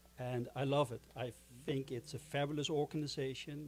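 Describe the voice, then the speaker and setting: The tone is dark and mellow, with fairly even intonation and a Dutch accent. The pace is moderate. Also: man. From Netherlands. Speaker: board chairman of a film organization. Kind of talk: closing remarks at a festival.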